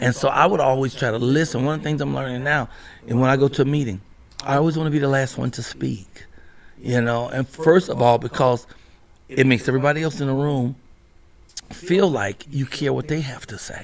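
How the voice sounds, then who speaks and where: Ordinary pitch variation runs through speech delivered at a fairly quick pace. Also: man, medium pitch for a man. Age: 60s. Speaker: comedian and actor. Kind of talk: casual interview chat. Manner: animated.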